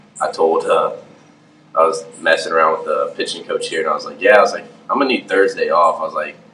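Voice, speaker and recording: The speaker has an American accent and a fairly quick pace. Noticeable background noise is present. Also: man. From Houston, Texas. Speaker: professional baseball pitcher. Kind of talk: interview.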